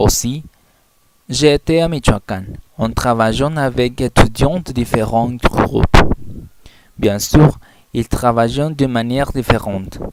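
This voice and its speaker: The delivery is very slow, broken up by long, frequent pauses. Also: man, medium pitch for a man, ordinary pitch variation. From Mexico (Colima). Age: 20s. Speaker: language student. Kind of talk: class presentation, self-introduction.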